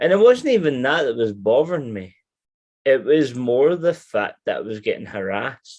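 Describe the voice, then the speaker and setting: Speaking in a Scottish accent, a man uses a fairly high pitch. His pitch swings very widely at a moderate pace. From Scotland. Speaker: person with alcoholism telling his story. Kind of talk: personal testimony in interview. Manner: halting, many restarts.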